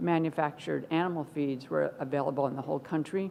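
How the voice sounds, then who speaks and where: This woman has a very deep, low pitch and an American accent. Her intonation is fairly even. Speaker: professor. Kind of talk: conference keynote talk. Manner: slow.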